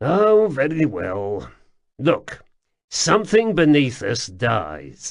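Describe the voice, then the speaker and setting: A man speaks in a put-on character voice, pitched fairly high. The background is quiet. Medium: read story. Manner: offhand, diffident.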